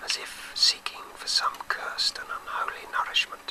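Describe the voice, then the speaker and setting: A man whispering at a moderate pace over noticeable background noise. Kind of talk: audiobook-style short story reading. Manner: whispered.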